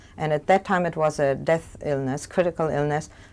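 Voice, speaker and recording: Speaking in a German accent at a fairly quick pace, a woman has a very deep, low pitch and ordinary pitch variation, on a very clean recording with a silent background. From Germany. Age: 60s. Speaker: Holocaust survivor. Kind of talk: testimony. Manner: fast.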